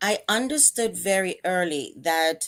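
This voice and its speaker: A woman speaks with a Jamaican accent. The recording is very clean, with a silent background. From Jamaica, Kingston. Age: 50s. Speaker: psychotherapist and life coach. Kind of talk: interview.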